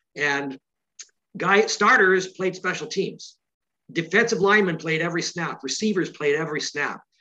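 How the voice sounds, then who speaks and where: A man's raised, projected voice, high in pitch with a bright, sharp tone, in a Canadian accent at a moderate pace with ordinary pitch variation. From Canada. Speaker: author of a football book. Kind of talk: interview.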